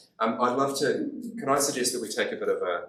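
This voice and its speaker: Audible room echo colors a man's voice. He talks fairly quickly. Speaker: theology college president and lecturer. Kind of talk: lecture. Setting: training day talk with audience at tables.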